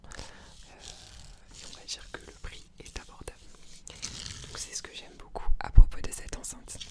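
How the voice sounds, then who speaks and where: A woman whispering at a moderate pace, with long, frequent pauses, big swings in loudness and noticeable background noise. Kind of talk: ASMR video, casual talk to camera. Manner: whispered; hesitant, many filler sounds.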